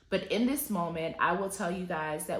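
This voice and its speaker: There is audible room echo and noticeable background noise as a woman speaks in a medium pitch. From US South, Atlanta, Georgia. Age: 30s. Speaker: lifestyle vlogger. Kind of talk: personal testimony vlog.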